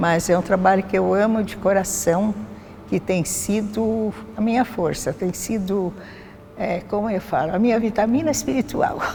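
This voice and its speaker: Through noticeable background noise, a woman speaks at a moderate pace and medium pitch with ordinary pitch variation. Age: 80s+. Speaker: church prayer group member. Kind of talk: testimony.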